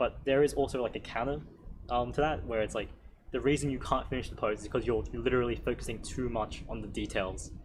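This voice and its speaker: A man's voice carries audible room echo. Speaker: drawing workshop instructor. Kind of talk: workshop Q&A lecture. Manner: fast.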